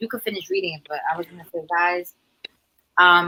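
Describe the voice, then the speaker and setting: This woman's tone is bright and sharp. She speaks with a Spanish accent. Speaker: sneaker livestream co-participant. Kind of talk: casual chat. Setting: live stream.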